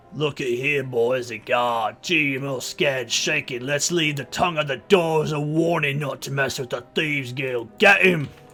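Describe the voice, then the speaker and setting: A put-on character voice in a Cockney accent at a moderate pace, with faint music in the background. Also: man, fairly high pitch for a man. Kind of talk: acted, self-described as bad. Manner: menacing, gleeful.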